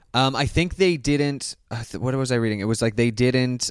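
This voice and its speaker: Pitched in the middle range, a man with an ordinary speaking voice talks at a moderate pace. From Canada. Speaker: comedian. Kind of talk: casual chat.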